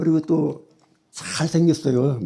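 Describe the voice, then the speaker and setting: A man speaks at a fairly slow pace with a fairly high pitch. His tone is dark and mellow. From South Korea, Daejeon Yuseong (Chungcheong). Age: 70s. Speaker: church member giving testimony. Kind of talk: testimony.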